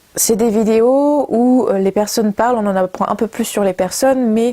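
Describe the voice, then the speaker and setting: Speaking at a fairly slow pace, a woman has a fairly high voice with a dark, mellow tone. Her intonation is fairly even, and the sound is dry and close with no echo. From Brittany, France. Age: 20s. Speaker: communication student and video maker. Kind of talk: project presentation to camera. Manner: hesitant, many fillers.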